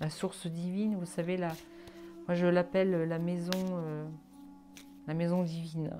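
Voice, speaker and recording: Over music in the background, a woman with a fairly low pitch speaks at a fairly slow pace with fairly even intonation and long, frequent pauses. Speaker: psychic card reader. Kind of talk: solo tarot card reading video. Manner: hesitant, many fillers.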